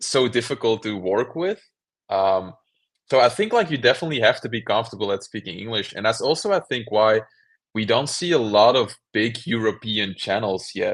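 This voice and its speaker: A man speaks at a medium pitch with a Belgian accent. The background is quiet. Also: ordinary pitch variation, moderate pace. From Belgium. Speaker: cubing YouTuber. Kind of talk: interview.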